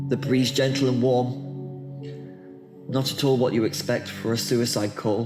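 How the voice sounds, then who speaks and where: Music sounds in the background while a man talks at a medium pitch. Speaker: poet. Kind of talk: poetry reading. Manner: emotional.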